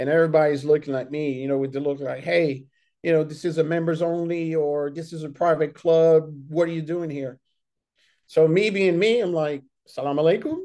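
Over a quiet background, a man with an American accent and a fairly high pitch talks at a fairly quick pace in an ordinary speaking voice with fairly even intonation. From Senegal and Ivory Coast, raised abroad by an American mother. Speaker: army veteran. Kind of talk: casual interview.

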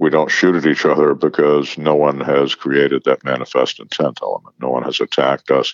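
A man talks at a fairly quick pace with a very deep, low pitch. His intonation stays monotone and flat. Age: 70s. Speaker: firearms expert and author. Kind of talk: interview.

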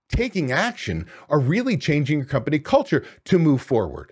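An energetic man's voice with vocal fry and very wide pitch swings, on a very clean recording with a silent background. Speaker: restaurant business coach and podcast host. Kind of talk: solo podcast monologue. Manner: loud.

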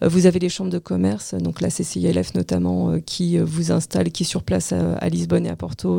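The pace of speech is moderate. It is a very clean recording with a silent background. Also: woman. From France. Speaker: real estate agency director. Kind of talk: interview. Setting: studio.

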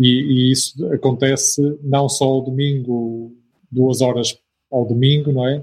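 A man speaks fairly slowly in a European Portuguese accent. His medium-pitched voice is somewhat breathy, with monotone, flat intonation. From northern Portugal. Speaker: missionary. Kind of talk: interview.

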